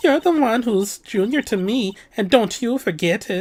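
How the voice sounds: A put-on character voice with a German accent comes at a fairly high pitch and a moderate pace.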